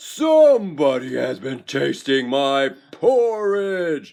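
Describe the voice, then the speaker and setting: Pitched fairly high, a man delivers a put-on character voice at a very slow pace. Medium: read story.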